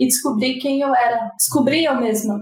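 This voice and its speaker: In a room with audible echo, a woman speaks at a high pitch with ordinary pitch variation. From São Paulo city, Brazil. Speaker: UX designer. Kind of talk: casual chat.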